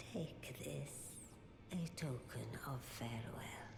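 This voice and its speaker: A put-on character voice whispers at a very slow pace amid loud background noise and clear echo. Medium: video game. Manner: solemn, ceremonial.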